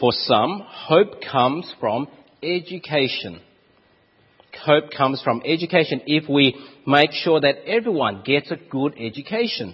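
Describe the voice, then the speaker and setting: This man, with an Australian accent, speaks fairly slowly at a fairly high pitch. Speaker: preacher.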